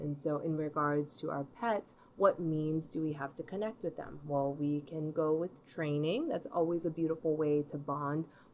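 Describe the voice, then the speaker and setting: At a moderate pace, a woman with a very deep, low pitch talks with fairly even intonation. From Hawaii, Molokai. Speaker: pet dietician and tarot reader. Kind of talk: casual talk to camera. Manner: halting.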